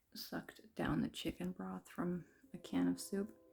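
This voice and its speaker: A quiet woman is speaking. She goes at a fairly slow pace. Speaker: vlogger. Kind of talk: casual monologue vlog. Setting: at home after a bath, late at night. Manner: hesitant, many fillers.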